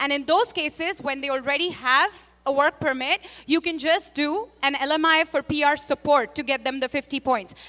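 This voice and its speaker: A woman's high, raised, projected voice with a bright, sharp tone and ordinary pitch variation, in a dry, close sound with no echo. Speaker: immigration consultant. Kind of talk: panel discussion. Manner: fast.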